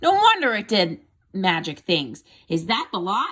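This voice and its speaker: Putting on a character voice with an excited tone, a woman speaks at a medium pitch and a moderate pace. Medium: read story. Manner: excited, exclamatory.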